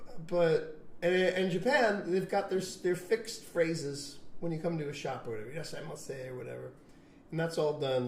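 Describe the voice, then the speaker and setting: A man with an American accent speaks fairly quickly at a fairly high pitch, with audible room echo and noticeable background noise. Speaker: long-term expat in Japan. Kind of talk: casual chat.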